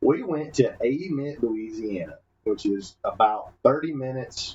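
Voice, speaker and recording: Somewhat breathy and at a fairly high pitch, a man talks at a moderate pace with a Southern US accent. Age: 30s. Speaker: podcast co-host. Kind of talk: casual chat. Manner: animated.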